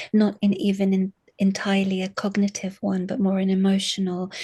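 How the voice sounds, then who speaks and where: Against a quiet background, a woman speaks fairly slowly in a somewhat breathy, monotone voice with flat intonation. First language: Arabic. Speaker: university lecturer in English literature. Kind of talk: interview. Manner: halting, many fillers and repetitions.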